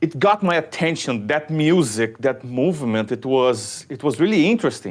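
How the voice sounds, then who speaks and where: Pitched fairly high, a man with a Brazilian accent moves at a moderate pace with hardly any pauses and very wide pitch swings, on a very clean recording with a silent background. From southern Brazil. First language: Portuguese. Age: 20s. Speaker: shuffle dancer. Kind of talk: podcast interview. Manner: halting, many repetitions and fillers.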